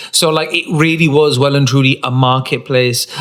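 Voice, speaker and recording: A man's medium-pitched voice against noticeable background noise. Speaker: podcast co-host; drag queen. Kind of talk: casual chat. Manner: animated.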